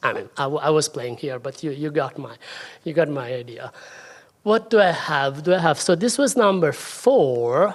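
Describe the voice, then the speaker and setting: The pace stays moderate. Words come in an Italian accent. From Italy. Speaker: Sanskrit scholar and translator. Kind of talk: lecture. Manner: halting.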